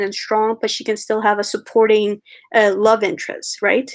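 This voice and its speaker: At a moderate pace, a woman with a slight Puerto Rican accent speaks in a fairly high pitch. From Puerto Rico. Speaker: animator and writer. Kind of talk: live-stream Q&A. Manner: halting, many fillers.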